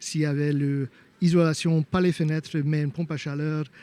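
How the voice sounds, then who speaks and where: A man with a slight non-native accent talks in a dark, mellow tone with monotone, flat intonation. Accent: slight foreign. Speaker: homeowner sharing renovation experience. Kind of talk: interview testimony. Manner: halting, many hesitations.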